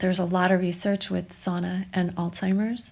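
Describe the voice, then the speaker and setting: A woman speaks in a fairly low, somewhat breathy voice. Her intonation is flat and monotone, at a moderate pace. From Denmark. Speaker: yoga teacher and wellness advocate. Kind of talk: casual chat.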